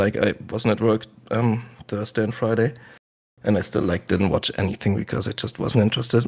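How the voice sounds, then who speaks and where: Somewhat breathy and fairly low, a man's voice moves at a fairly quick pace in a flat monotone. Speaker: podcast host. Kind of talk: casual podcast conversation.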